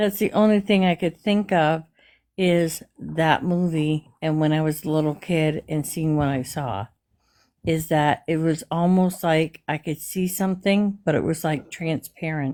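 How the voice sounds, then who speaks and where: A woman's dark, mellow, fairly low voice at a fairly slow pace, with ordinary pitch variation on a very clean recording with a silent background. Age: 60s. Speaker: caller sharing paranormal story. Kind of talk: casual storytelling.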